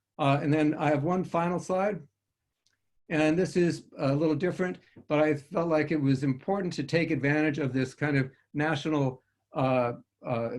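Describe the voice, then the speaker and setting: The intonation is fairly even and the loudness very even. Long pauses come frequently. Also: man. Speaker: physician researcher. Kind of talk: research presentation. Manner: fast.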